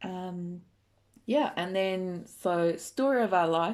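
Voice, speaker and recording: A woman is speaking. She has an English accent. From England. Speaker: podcast host. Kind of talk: casual chat.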